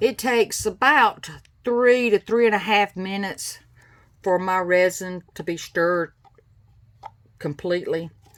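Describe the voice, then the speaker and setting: A woman with a Southern US accent, speaking at a fairly slow pace with long, frequent pauses. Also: medium pitch for a woman, ordinary pitch variation. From US South, South Carolina. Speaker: craft tutorial maker. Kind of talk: tutorial. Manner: casual, chatty.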